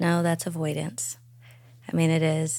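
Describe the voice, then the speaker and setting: A woman speaks with a very deep, low pitch at a moderate pace. The recording is very clean, with a silent background. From Arkansas. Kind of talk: interview.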